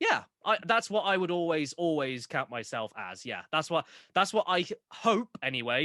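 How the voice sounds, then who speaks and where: With a Southern English accent, a man speaks at a moderate pace in a bright, sharp tone, the sound dry and close with no echo. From Southern England. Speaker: online video creator and entertainer.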